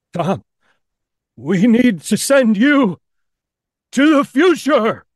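Using a put-on character voice, a man speaks very slowly at an extremely high pitch.

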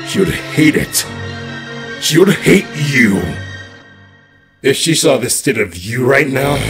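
A man's cartoonish character voice, fairly high-pitched and fairly slow, over faint music in the background. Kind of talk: fan comic dub acting. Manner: taunting, cruel, shouting.

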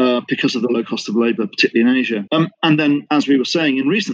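A British accent in a dry, close sound with no echo. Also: man. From Britain. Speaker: business intelligence consultant. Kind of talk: interview. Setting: remote call from Singapore.

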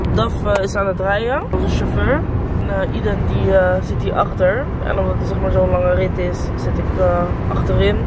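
Loud background noise runs under moderately paced speech with a dry sound and no echo. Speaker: vlogger. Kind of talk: casual vlog chat.

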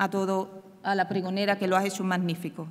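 This woman speaks at a moderate pace. Her intonation is monotone and flat. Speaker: brotherhood organizer announcing. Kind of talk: formal ceremonial announcement; formal ceremonial speech. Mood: warm, grateful. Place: stage. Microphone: podium.

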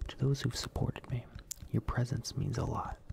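Someone whispers at a moderate pace. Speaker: ASMR content creator. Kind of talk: soft ASMR monologue, parody apology. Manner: soft-spoken over bottle tapping. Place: home room. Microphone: studio mic.

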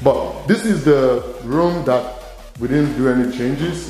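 Faint music plays in the background as the speaker goes at a fairly slow pace, with audible room echo. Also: man. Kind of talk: casual property tour narration. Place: empty room. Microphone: phone near.

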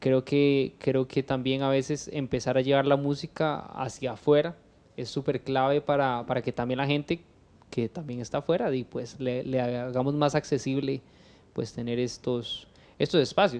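A man's voice sits at a medium pitch with fairly even intonation. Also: fairly slow pace. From Costa Rica, Cartago; Costa Rica. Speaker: podcast host. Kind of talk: casual interview. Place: home room. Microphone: studio mic.

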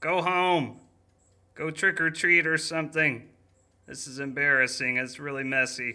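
A cartoonish character voice at a low-to-middle pitch moves at a moderate pace with long, frequent pauses on a very clean recording with a silent background. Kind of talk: children's cooking cartoon. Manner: chatty, rhyming, mock-spooky instructions turning to whiny complaints.

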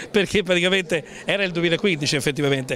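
A man speaks at a very fast pace in a high voice. The sound is dry with no echo, over light background noise. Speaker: TV reporter. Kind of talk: on-location interview. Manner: formal.

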